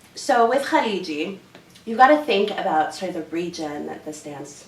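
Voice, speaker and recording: A woman with a Canadian accent, at a moderate pace and with ordinary pitch variation, amid audible room echo and noticeable background noise. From Canada. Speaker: dance instructor. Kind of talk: interview. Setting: hotel room. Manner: animated.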